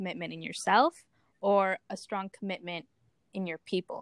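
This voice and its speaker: A woman speaks at a moderate pace in an unremarkable speaking voice. The sound is dry and close, with no echo. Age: 20s. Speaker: podcast host. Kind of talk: interview.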